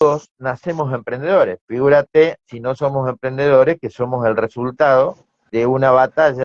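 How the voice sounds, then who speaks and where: A man speaks with an Argentine accent at a moderate pace. His loudness swings widely. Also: medium pitch for a man, dry, close sound with no echo. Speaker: sales expert, business owner. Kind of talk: interview.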